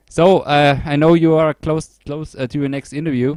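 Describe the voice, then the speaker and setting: Dry, close sound with no echo from a man with a fairly high pitch and a German accent, at a moderate pace. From Germany. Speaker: podcast host, music reviewer. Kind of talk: casual interview chat.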